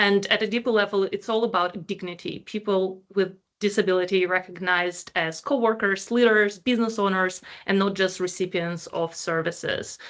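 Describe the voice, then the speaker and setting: This is a plain, everyday voice from a woman at medium pitch, moving at a moderate pace. Her intonation is fairly even, and the background is quiet. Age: 30s. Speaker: employment researcher. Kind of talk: panel discussion.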